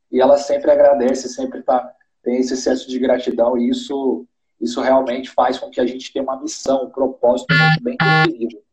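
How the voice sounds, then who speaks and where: Here a man talks at medium pitch and a fairly quick pace. His intonation stays flat and monotone. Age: 20s. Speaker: entrepreneur. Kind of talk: live-stream interview. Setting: online live stream.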